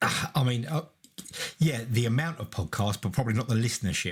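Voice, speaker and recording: Somewhat breathy describes this man's voice. He talks fairly quickly. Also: medium pitch for a man, lively intonation. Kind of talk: podcast co-host, casual conversation.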